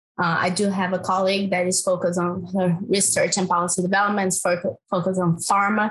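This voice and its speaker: A woman with a Brazilian accent speaks in a monotone, flat intonation at medium pitch, with a fairly quick pace and very even loudness. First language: Portuguese. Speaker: climate finance researcher. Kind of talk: panel discussion.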